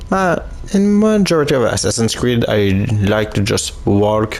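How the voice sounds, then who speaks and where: A man speaks at a fairly slow pace with ordinary pitch variation. Noticeable background noise is present. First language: not English. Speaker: gaming youtuber. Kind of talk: let's play commentary. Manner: halting.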